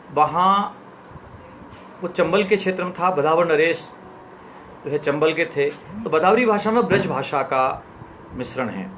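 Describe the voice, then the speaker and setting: A man's high pitch with ordinary pitch variation, long, frequent pauses and noticeable background noise. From central India, Chambal region (Ashoknagar, Madhya Pradesh). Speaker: author. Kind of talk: live-stream talk and story reading.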